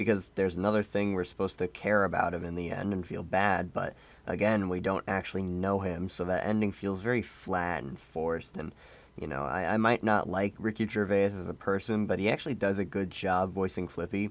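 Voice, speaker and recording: A man's very deep, low voice with fairly even intonation, a deadpan tone and a fairly quick pace. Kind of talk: casual movie review to camera. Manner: apathetic, deadpan.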